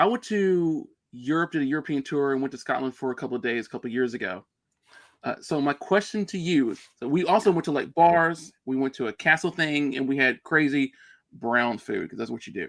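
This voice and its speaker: A man talks at a fairly quick pace with a fairly high pitch and lively intonation in a plain, everyday voice. The background is quiet, and the sound is dry and close with no echo. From US. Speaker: streamer. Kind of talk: casual chat.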